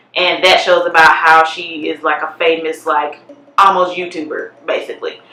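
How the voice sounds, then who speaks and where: Moderately paced speech from a woman, with noticeable background noise. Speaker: YouTuber. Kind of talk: casual vlog commentary. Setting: basement at home. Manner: loud.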